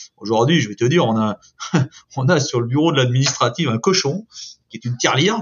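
A man talks at a fairly quick pace, with ordinary pitch variation. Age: 50s. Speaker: construction company branch director. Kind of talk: interview. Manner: hesitant, many repetitions and fillers.

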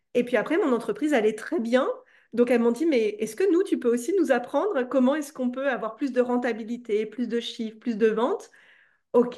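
A woman speaks at a high pitch with a dark, mellow tone. The background is quiet. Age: 30s. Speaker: entrepreneur and coach. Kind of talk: casual interview. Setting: at home.

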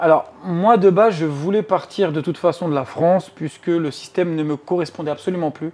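At a moderate pace, a man talks in an unremarkable speaking voice. His pitch is fairly high and his intonation fairly even. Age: 30s. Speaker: real estate agency founder. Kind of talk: interview. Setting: at the guest's home.

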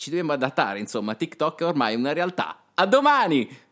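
A man talks in an Apulian accent with a fairly high pitch. The recording is very clean with a silent background. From Puglia, southern Italy. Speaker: radio host. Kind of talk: radio talk show.

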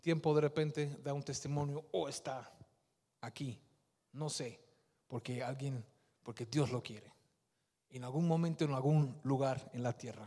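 A man's somewhat breathy voice, fairly high in pitch with a dark, mellow tone, at a fairly slow pace with long, frequent pauses and big swings in loudness. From Netherlands, Surinamese-Indonesian parents. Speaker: lay preacher. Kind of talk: sermon with testimony. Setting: church. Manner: animated.

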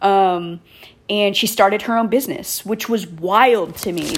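A woman with an American accent speaks at a fairly slow pace in a plain, everyday voice, medium in pitch with ordinary pitch variation. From Texas, Killeen area. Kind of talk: personal storytelling monologue. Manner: casual, laughing often.

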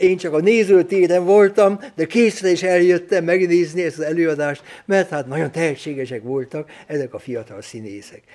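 Lively intonation marks this man's high-pitched voice as he speaks at a moderate pace. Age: 80s+. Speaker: Jesuit priest and lecturer. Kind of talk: lecture. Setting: lecture hall with audience. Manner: halting, with frequent repetitions.

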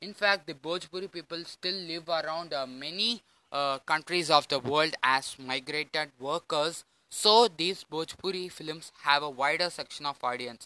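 Delivered in a Tamil accent at a fairly slow pace, the voice has a bright, sharp tone and ordinary pitch variation. The sound is dry and close, with no echo. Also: man, fairly high pitch for a man. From Tamil Nadu, India. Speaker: podcast host, film commentator. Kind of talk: solo podcast monologue. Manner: hesitant, many fillers.

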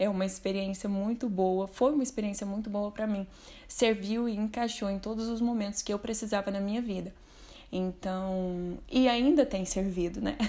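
In a plain, everyday voice, a woman speaks at a moderate pace with medium pitch and fairly even intonation. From Minas Gerais, Brazil (Uberlândia). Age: 20s. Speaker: book recommender. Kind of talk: recorded testimony.

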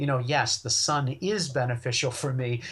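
A man's normal speaking voice at medium pitch, moderate pace, with an American accent. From western Maine, US. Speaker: wild foods and plant medicine expert. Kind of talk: casual interview.

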